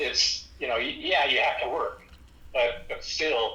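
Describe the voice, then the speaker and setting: Very slow speech from a man, with noticeable background noise and audible echo from the room. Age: 70s. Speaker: inventor and company founder. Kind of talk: casual chat.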